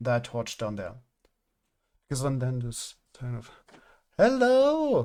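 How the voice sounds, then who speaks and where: A fairly slow pace in a German accent. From Germany. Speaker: gaming streamer. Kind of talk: casual live-stream commentary. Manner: halting, filler-heavy.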